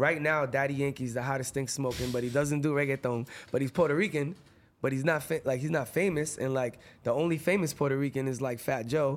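In an American accent, an unremarkable speaking voice moves at a fairly quick pace with fairly even intonation. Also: man, fairly high pitch for a man. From Massachusetts. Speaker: rapper. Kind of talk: casual interview. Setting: studio.

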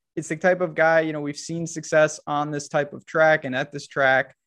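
In an American accent, a man talks with a fairly high pitch. The background is quiet. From New York. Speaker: fantasy sports analyst. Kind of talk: live streamed analysis show. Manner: fast.

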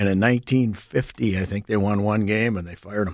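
On a very clean recording with a silent background, a man with an Upper Midwest accent speaks at a moderate pace in a fairly low voice with ordinary pitch variation. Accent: Upper Midwest (Minnesota). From southwestern Minnesota. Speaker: veteran sports columnist. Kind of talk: casual storytelling interview. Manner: halting, frequent fillers.

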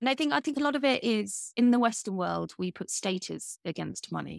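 A woman with a British accent talks with hardly any pauses. The sound is dry and close with no echo, on a very clean recording with a silent background. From Britain. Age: 30s. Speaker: writer and marketing agency director. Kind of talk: interview.

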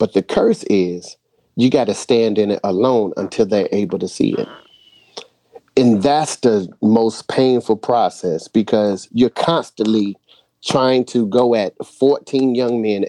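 A man's dark, mellow voice at a fairly slow pace, with a dry, close sound and no echo. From Boston, US. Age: 40s. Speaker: basketball coach. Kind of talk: casual interview chat.

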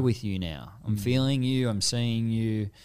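A man talks at a moderate pace with an Australian accent. His intonation stays fairly even. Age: 30s. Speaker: executive coach. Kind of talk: casual chat.

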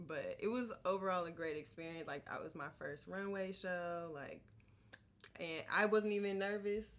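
A woman with an American accent, medium pitch, moderate pace and ordinary pitch variation, an unremarkable speaking voice. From Georgia, US South. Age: 20s. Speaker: model. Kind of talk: casual chat.

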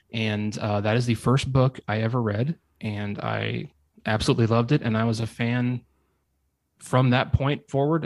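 On a very clean recording with a silent background, a man with a plain, everyday voice talks at a medium pitch and moderate pace with fairly even intonation. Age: 30s. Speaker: podcast co-host. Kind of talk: casual chat.

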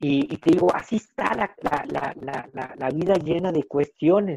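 This man's voice has a dark, mellow tone and a high pitch. He speaks at a fairly slow pace with lively intonation. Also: dry, close sound with no echo. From Mexico. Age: 50s. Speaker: family constellation therapist. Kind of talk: casual interview.

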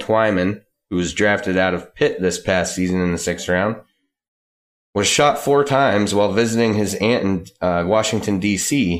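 This man has a normal speaking voice with a fairly low pitch and ordinary pitch variation at a moderate pace. The recording is very clean, with a silent background. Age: 30s. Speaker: sports podcast host. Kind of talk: casual chat.

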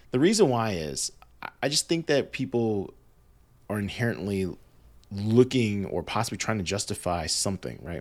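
A man with vocal fry talks at a moderate pace, his intonation lively. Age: 40s. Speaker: podcast co-host. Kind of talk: casual chat.

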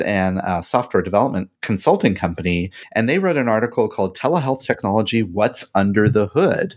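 A man's ordinary speaking voice at a medium pitch, fairly quick pace and hardly any pauses. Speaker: podcast co-host. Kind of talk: casual podcast discussion.

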